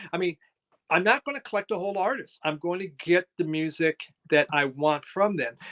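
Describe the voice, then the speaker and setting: Recorded dry and close with no echo, a man talks fairly quickly in a high voice with ordinary pitch variation. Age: 60s. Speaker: record collector YouTuber. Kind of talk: interview. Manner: halting.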